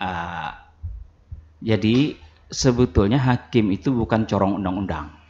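Dark and mellow, a man's fairly low voice unfolds at a fairly slow pace with long, frequent pauses and ordinary pitch variation. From South Kalimantan, Kintap; South Kalimantan, Indonesia. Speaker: religious court chief judge; radio guest. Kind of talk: radio talk show interview. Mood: earnest, appealing, promising. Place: studio. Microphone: studio mic.

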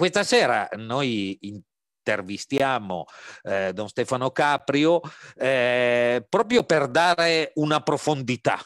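At a very slow pace, a man talks with lively intonation in a dry, close sound with no echo. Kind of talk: interview. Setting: video call. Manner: halting, many fillers.

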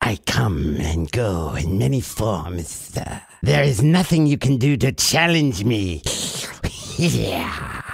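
Using a put-on character voice, a man speaks very slowly at a fairly low pitch with very wide pitch swings.

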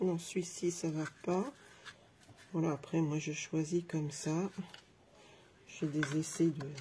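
A woman speaks at a very slow pace with a dark, mellow tone and a somewhat breathy quality. Her intonation is fairly even, and light background noise can be heard. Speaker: craft vlogger. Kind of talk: casual live tutorial. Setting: live video stream with microphone. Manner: chatty, friendly, hesitant with fillers. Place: home room. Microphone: phone near.

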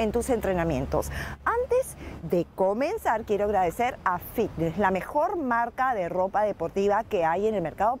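Pitch swinging very widely, a woman speaks at a fairly slow pace in a dry sound with no echo and light background noise. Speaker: fitness TV host. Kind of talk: TV presenter talk with sponsor plug. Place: garden. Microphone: lapel.

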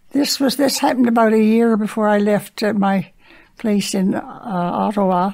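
A woman speaks in a Newfoundland accent with a fairly high pitch. Her loudness stays very even. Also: ordinary pitch variation, moderate pace. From Newfoundland, St. John's. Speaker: senior resident. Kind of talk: storytelling.

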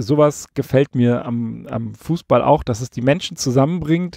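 A man talks at a very slow pace, his sound dry with no echo against a quiet background. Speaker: football podcast host; podcast host. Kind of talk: solo podcast monologue with personal anecdotes. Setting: converted van used as a mobile recording studio, parked outdoors. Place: studio.

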